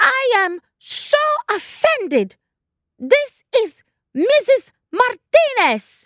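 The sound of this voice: In a put-on character voice, a man uses a squeaky falsetto at an extremely high pitch and a very slow pace.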